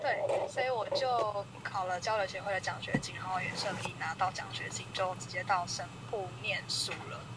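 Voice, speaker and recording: A woman speaks at a moderate pace, with noticeable noise behind her. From Taiwan. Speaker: YouTuber and Japanese teacher. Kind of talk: casual interview. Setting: remote call.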